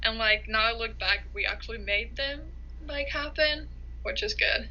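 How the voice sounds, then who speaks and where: The speaker talks at a moderate pace with a Finnish accent, amid noticeable background noise and audible room echo. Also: woman. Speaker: college soccer player. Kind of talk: interview.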